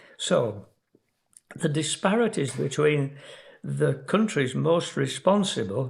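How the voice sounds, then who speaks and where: Speaking at a very slow pace, a man uses lively intonation and vocal fry. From Yorkshire, England. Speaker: emeritus professor of geography, climate scientist. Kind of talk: educational lecture podcast.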